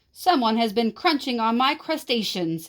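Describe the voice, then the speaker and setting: Growling in a put-on character voice, a woman speaks at a moderate pace with a fairly high pitch. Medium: read story.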